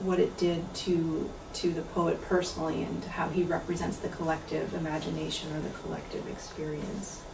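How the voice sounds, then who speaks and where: Over noticeable background noise and audible room echo, a woman speaks at a fairly low pitch. Her pace is moderate and her intonation monotone and flat. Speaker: translator. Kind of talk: lecture.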